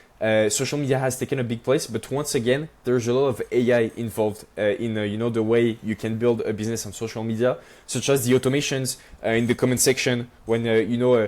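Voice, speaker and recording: Speaking with a strong French accent, a man talks at a very fast pace. His medium-pitched voice stays flat and monotone. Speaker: entrepreneur. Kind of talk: casual interview chat. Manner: many fillers and hesitations.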